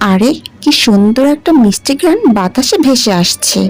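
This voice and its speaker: Using a cartoonish character voice, a woman speaks at a moderate pace with a high pitch and very wide pitch swings. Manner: affectionate, calls others mother.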